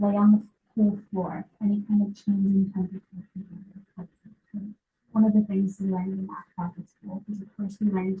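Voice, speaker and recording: A woman with a dark, mellow tone and medium pitch speaks at a fairly quick pace, somewhat breathy and in a monotone, flat intonation, with big swings in loudness. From Massachusetts, South Shore near Boston. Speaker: healthcare practitioner. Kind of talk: lecture. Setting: medical office with audience. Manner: fast.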